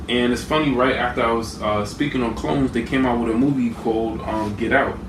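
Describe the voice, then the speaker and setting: A man's medium-pitched voice at a fairly quick pace, with ordinary pitch variation, noticeable background noise and audible room echo. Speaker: conspiracy video creator. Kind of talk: lecture. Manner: fast.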